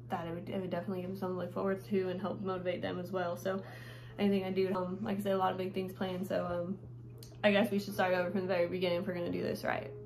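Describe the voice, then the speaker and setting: A woman's very fast, medium-pitched voice with an American accent and fairly even intonation, with noticeable background noise and audible room echo. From Nevada. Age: 20s. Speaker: vlogger and rodeo rider. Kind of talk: casual vlog. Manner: hesitant, many fillers.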